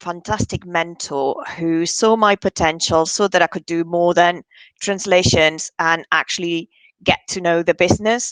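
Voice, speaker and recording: A woman speaks at a fairly slow pace in a fairly low, monotone, flat voice. The sound is dry and close with no echo, against a quiet background. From Spain, Barcelona. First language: Spanish. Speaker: bid management consultant. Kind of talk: interview.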